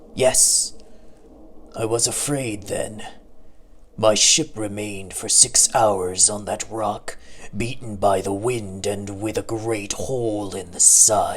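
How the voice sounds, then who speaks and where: A man's put-on character voice, fairly low in pitch and fairly slow, over clear background noise. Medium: read story. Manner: brusque, hearty.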